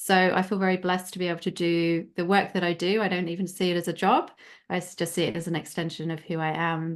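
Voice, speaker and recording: Talking very fast in a flat monotone, a woman with a fairly low voice is heard against a quiet background. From UK. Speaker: life coach and author. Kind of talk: podcast interview.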